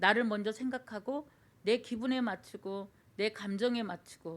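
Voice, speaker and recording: A woman's voice with a fairly high pitch. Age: 60s. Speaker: church deaconess giving testimony. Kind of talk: testimony. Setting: church service. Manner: halting with many fillers.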